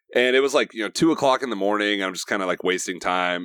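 A man with an American accent has a plain, everyday voice, fairly low in pitch with ordinary variation. The recording is very clean and dry, close with no echo, over a silent background. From US Midwest, Nebraska. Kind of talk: casual interview chat.

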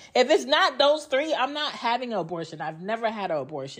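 A woman with an American accent lets her pitch swing very widely. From Georgia, US. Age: 30s. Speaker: podcast host, mother. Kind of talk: personal monologue. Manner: casual, conversational.

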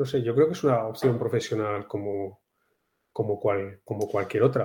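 At a moderate pace, a man speaks with a dark, mellow, somewhat breathy tone and ordinary pitch variation. The background is quiet. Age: 50s. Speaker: amateur golfer. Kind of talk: casual chat.

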